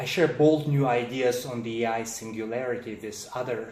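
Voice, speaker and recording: A man's medium-pitched voice with a Russian accent, fairly even intonation and a moderate pace, over noticeable background noise and audible room echo. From Russia, Siberia. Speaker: philosopher and author. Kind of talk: presentation.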